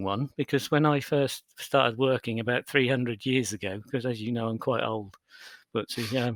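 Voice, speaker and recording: At a fairly quick pace, a man with a British accent speaks with ordinary pitch variation. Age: 50s. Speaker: business consultant and keynote speaker. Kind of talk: podcast interview. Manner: halting, many repetitions.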